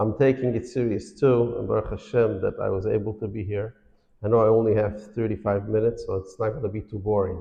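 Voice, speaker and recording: This man speaks at a very fast pace. His fairly low voice keeps a fairly even intonation. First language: Yiddish. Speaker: financial awareness speaker. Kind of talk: lecture. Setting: synagogue hall with audience.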